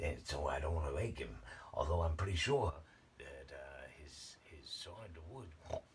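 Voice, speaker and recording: The voice is quiet. Its pace is moderate. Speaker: vlogger. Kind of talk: casual monologue to camera. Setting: at home at night. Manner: quiet, hushed; rambling, halting.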